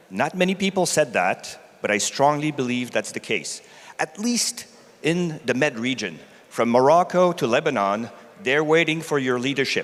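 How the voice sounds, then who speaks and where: Here is a man with an ordinary speaking voice and a fairly high pitch. He moves at a moderate pace with lively intonation. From Canada. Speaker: technology executive. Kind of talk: conference talk.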